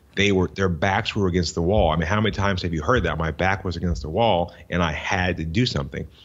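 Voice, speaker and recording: The speaker has an American accent. The pitch shows ordinary variation. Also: man. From US South, Florida (Tampa Bay area). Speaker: entrepreneur and business coach. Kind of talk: interview. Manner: repetitive, frequent restarts.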